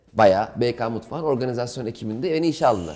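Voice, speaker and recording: A man speaks at a very fast pace with lively intonation. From Istanbul, Turkey; Turkey. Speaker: stand-up comedian; interview guest, comedian. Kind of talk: casual interview. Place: home room.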